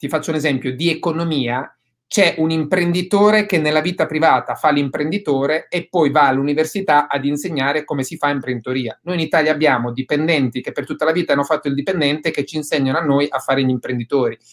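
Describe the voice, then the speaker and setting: Over a quiet background, the words come at a very fast pace with ordinary pitch variation. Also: man, fairly high pitch for a man. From southern Italy. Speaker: real estate investor; guest. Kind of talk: webinar interview. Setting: video call. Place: home room. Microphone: webcam.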